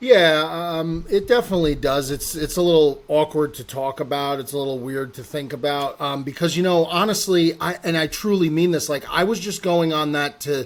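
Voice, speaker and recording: A fairly high-pitched man with an American accent at a moderate pace, with ordinary pitch variation and hardly any pauses. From North Jersey, US. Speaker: golf content personality. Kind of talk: podcast interview. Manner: loud, projecting; boisterous at times.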